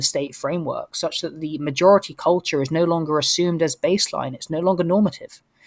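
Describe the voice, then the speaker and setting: With a London accent, the speech moves at a fairly quick pace. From North London, England. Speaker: political commentator. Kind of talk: podcast discussion. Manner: halting, many repeated words.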